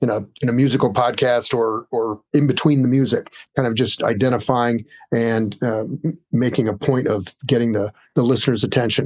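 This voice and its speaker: A man with a normal speaking voice talks at a fairly quick pace, medium in pitch. His intonation stays fairly even against a quiet background. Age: 60s. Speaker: sound designer and audio educator. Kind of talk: podcast interview. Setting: video call.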